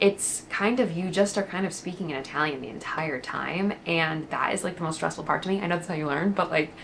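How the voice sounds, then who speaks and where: A woman with a fairly low pitch and an American accent talks at a very fast pace over noticeable background noise. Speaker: lifestyle vlogger. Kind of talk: chatty vlog. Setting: at home. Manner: casual, filler-heavy.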